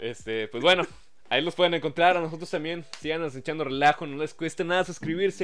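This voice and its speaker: This man has an unremarkable speaking voice with ordinary pitch variation. He keeps a fairly quick pace. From Monterrey, Mexico. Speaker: podcast host. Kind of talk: show outro; casual chat.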